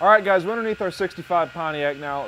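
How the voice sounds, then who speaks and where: A man's voice with ordinary pitch variation and light background noise. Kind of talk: walkaround commentary. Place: garage.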